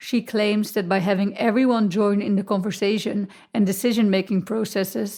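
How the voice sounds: A natural reading voice carries fairly even intonation here.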